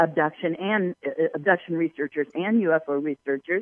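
This woman has a fairly low pitch. She speaks at a moderate pace. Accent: American. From Southern California, Palos Verdes. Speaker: UFO researcher and tour guide. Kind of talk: interview. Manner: halting, many fillers.

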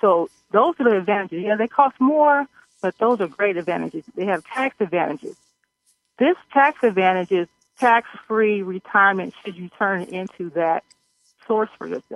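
In an American accent, a woman with an ordinary speaking voice talks at a moderate pace and medium pitch, with lively intonation and big swings in loudness. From Missouri. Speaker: insurance agent. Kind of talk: interview explaining insurance.

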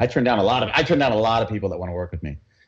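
A man talks with an American accent. His voice is somewhat breathy. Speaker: entrepreneur coach and speaker. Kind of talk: interview chat.

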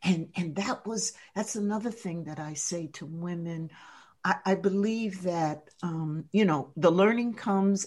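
A woman with an American accent, bright and sharp in tone, at a fairly slow pace. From US East Coast, New Jersey. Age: 70s. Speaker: leadership coach and author. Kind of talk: radio interview.

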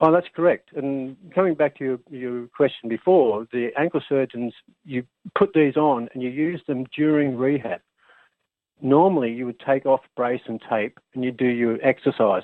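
Speech at a moderate pace with ordinary pitch variation, delivered in an Australian accent. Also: man, medium pitch for a man. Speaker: engineer and inventor, former basketball player. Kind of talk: radio interview.

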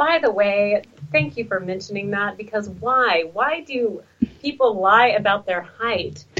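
A woman with an American accent and an ordinary speaking voice, medium in pitch, lively in intonation, at a fairly slow pace. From Texas. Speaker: radio talk show host. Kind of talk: casual chat.

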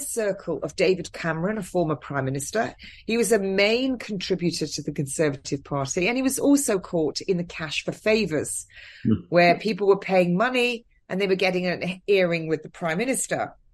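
In a southern English accent, a woman speaks at a fairly quick pace with lively intonation and medium pitch. The background is quiet. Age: 50s. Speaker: nurse. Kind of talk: interview.

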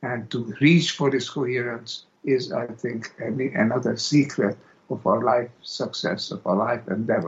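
The voice carries a Hungarian accent and is somewhat breathy. It moves at a fairly slow pace with ordinary pitch variation. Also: man, medium pitch for a man. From Hungary. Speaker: philosopher and author. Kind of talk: interview. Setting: remote call.

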